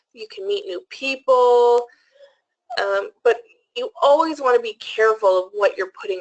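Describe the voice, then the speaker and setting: This is a woman speaking at a moderate pace. The sound is dry and close, with no echo. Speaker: presenter. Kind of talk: webinar presentation.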